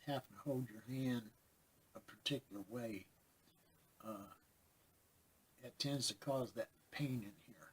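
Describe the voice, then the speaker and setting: Somewhat breathy and at medium pitch, a man speaks at a fairly slow pace with big swings in loudness and long, frequent pauses. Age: 60s. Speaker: pet nutrition advisor and vlogger. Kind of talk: casual personal vlog talk. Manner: rambling, hesitant with fillers.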